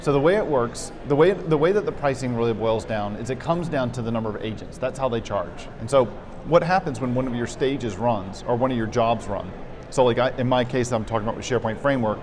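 Music plays in the background as the speech runs at a very fast pace with ordinary pitch variation. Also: man, medium pitch for a man. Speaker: developer. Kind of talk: casual interview. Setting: in person at a conference.

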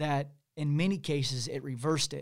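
Speaking with a Midwestern American accent, a man uses a fairly high pitch and ordinary variation in it. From Missouri, Kansas City. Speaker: podcast co-host. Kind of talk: casual chat. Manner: halting, many fillers.

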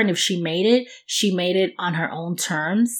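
Very slow and fairly even in intonation, a woman speaks at a medium pitch in a New York accent. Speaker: podcast co-host. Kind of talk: casual chat.

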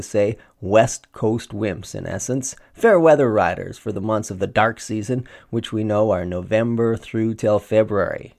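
An ordinary speaking voice moves at a fairly slow pace over a very clean recording with a silent background. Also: man. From Saskatchewan, Canada. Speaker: podcast host. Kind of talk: scripted narration; interview.

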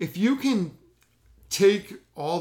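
Lively intonation carries an excited, animated tone. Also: man. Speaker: podcast host. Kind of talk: casual chat, live reaction recap. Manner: excited, fired up, animated.

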